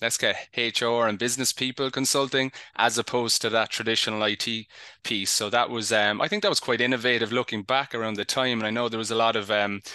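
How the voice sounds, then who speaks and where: At a fairly quick pace, a man with a Cork accent speaks in a medium pitch with a bright, sharp tone and fairly even intonation against a quiet background. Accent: Cork Irish. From Ireland, Cork. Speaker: HR technology consultant. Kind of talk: panel discussion. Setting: live online show. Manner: halting.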